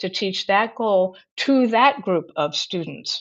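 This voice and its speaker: An ordinary speaking voice from a woman at medium pitch, with ordinary pitch variation and a fairly slow pace. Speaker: Montessori educator. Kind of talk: webinar presentation. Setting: webinar.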